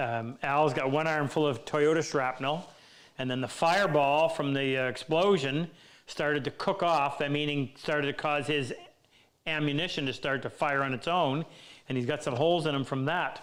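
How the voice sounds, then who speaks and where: In an ordinary speaking voice, a man talks at a fairly high pitch and moderate pace with fairly even intonation. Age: 60s. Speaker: woodworking teacher. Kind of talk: live Q&A stream. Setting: workshop live stream.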